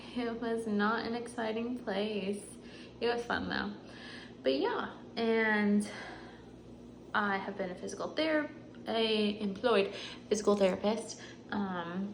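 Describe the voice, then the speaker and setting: A woman's fairly high voice with an American accent, very slow and full of long, frequent pauses, with ordinary pitch variation, audible room echo and noticeable background noise. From North Carolina, US South. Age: 20s. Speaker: physical therapist and vlogger. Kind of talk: casual chat. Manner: rambling filler-heavy speech.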